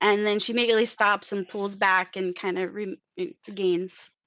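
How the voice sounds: Over a quiet background, the intonation stays fairly even in a natural reading voice.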